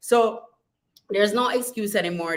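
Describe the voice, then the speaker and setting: Her tone is bright and sharp. The woman sounds animated. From Jamaica. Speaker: model coach, vlogger. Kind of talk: casual vlog monologue.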